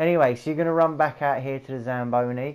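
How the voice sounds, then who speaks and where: A man with a South East London accent, relaxed in tone, with fairly even intonation. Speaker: gaming YouTuber. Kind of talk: gameplay tutorial commentary. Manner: casual, rambling; relaxed, chilled.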